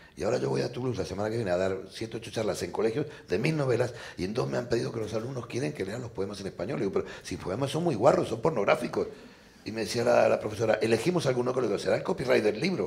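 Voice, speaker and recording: Lively in intonation, a man talks very fast at a medium pitch. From Argentina. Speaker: novelist and poet. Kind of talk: panel discussion. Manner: animated.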